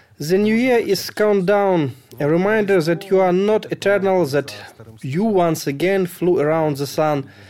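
A man with a Ukrainian accent speaks at a high pitch for a man. His pace is fairly slow, with ordinary pitch variation. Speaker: sound engineer. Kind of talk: personal statement.

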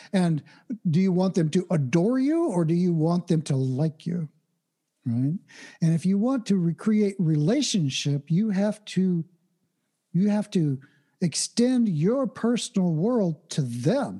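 With an American accent, a man speaks fairly slowly at a high pitch in a dark, mellow tone, with lively intonation and very even loudness against a quiet background. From Oklahoma, US. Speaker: technical speaker and mindfulness teacher. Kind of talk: interview. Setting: remote call, late at night.

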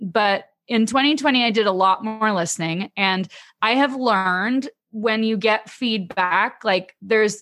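A woman with a Canadian accent, a plain, everyday voice at fairly high pitch, and ordinary pitch variation, in a very clean recording with a silent background. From Canada. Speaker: email marketing expert. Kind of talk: casual interview chat.

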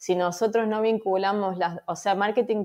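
A woman speaks at a medium pitch in an unremarkable speaking voice. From Argentina, Córdoba. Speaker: marketing agency founder. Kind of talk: interview.

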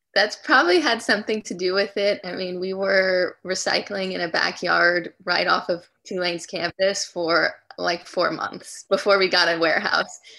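A woman with a bright, sharp tone talks at medium pitch and a moderate pace, with ordinary pitch variation and hardly any pauses. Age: young. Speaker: recycling company founder. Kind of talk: interview. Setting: video call.

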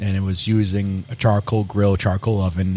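This man has an unremarkable speaking voice, fairly low in pitch, delivered at a moderate pace with fairly even intonation. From Massachusetts (Medford, Boston area). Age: 40s. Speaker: restaurant owner and chef. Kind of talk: interview.

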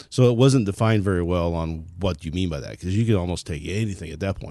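Very fast speech in a dark, mellow tone over a quiet background. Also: man. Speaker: libertarian writer. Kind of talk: casual chat. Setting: studio.

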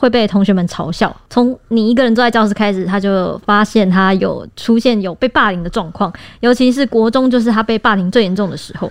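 A woman with an ordinary speaking voice talks at a fairly quick pace and fairly high pitch, with ordinary pitch variation and hardly any pauses, on a very clean recording with a silent background. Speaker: podcast co-host, news reporter. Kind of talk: casual discussion.

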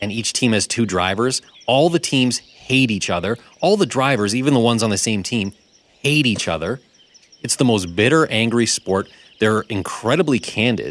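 A man with an unremarkable speaking voice talks at medium pitch and a moderate pace. His intonation is lively, and the sound is dry and close with no echo. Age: young. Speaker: radio and podcast co-host. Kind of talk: casual chat. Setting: studio.

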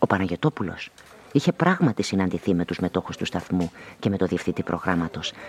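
In a put-on character voice, a man talks with a low pitch and a slightly husky edge. His intonation is lively.

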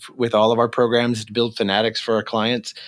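An unremarkable speaking voice belongs to a man talking at a fairly quick pace and a medium pitch. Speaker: marketing agency founder. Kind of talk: interview.

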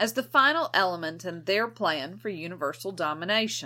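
A woman speaks with a bright, sharp tone, vocal fry and very wide pitch swings. The recording is very clean, with a silent background. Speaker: podcast co-host. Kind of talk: casual chat.

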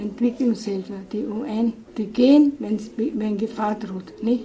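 Someone speaks very slowly with ordinary pitch variation. Noticeable background noise runs underneath. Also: woman. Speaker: missionary nun. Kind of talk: interview. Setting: in-person interview.

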